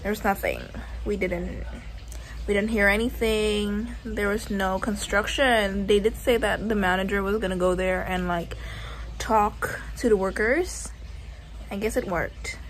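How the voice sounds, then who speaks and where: A woman talks at a fairly slow pace. Light background noise sits behind her. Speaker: travel vlogger. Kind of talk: casual vlog chat. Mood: relaxed, relieved. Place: home room. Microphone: phone near.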